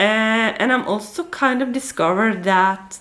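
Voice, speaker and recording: The speaker talks at a fairly slow pace with a Norwegian accent and ordinary pitch variation. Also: woman. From Norway. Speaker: book vlogger. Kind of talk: casual chat. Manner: hesitant, many fillers.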